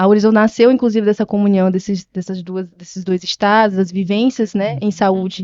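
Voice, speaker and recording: A woman with a medium pitch talks with fairly even intonation. Her pace is moderate, with hardly any pauses. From Brazil, Maranhão and Piauí (Northeast). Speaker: nurse and health business owner. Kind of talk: podcast interview. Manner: halting, with many fillers.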